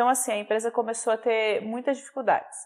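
A woman speaks with a fairly high pitch. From Minas Gerais, Brazil. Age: 40s. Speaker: headhunter and HR consultant. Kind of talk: interview conversation. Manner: hesitant fillers.

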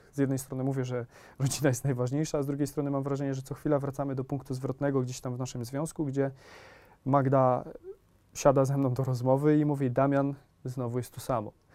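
A man's medium-pitched voice with a dark, mellow tone, delivered at a very fast pace in a monotone, flat intonation. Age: 30s. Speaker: youtuber and entrepreneur. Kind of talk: casual chat.

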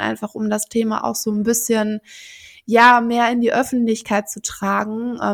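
This woman's pitch is fairly high. She talks at a fairly slow pace with monotone, flat intonation. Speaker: podcast host. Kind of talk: interview.

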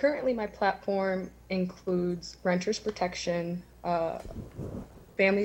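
In a very clean recording with a silent background, a woman with an American accent speaks at a moderate pace, her fairly low voice somewhat breathy and her intonation fairly even. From Erie, Pennsylvania, Lower East Side. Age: 20s. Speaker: community organizer and city council candidate. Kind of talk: candidate forum answers.

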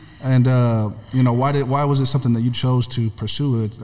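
The speaker has an American accent and a fairly quick pace. The intonation stays flat and monotone. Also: man. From California. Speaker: podcast co-host. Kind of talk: casual interview.

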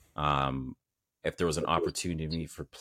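In a Canadian accent, a man speaks with vocal fry at a very deep, low pitch and fairly even intonation, in a very clean recording with a silent background and a dry, close sound with no echo. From Canada, Saint Vincent family. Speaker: entrepreneur, mental health brand founder. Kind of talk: casual interview chat.

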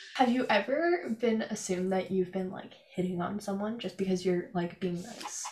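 Over noticeable background noise, a woman speaks at a moderate pace and medium pitch with ordinary pitch variation and hardly any pauses. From Canada. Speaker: podcast host. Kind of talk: casual chat.

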